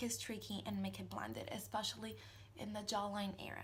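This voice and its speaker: A woman at a moderate pace. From Italy. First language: Italian. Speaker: makeup vlogger. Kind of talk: tutorial. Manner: hesitant, many fillers.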